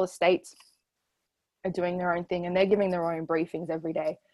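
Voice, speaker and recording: This is a woman with a fairly low pitch. She talks with an Australian accent. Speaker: sports journalist and co-host. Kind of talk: casual chat. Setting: video call.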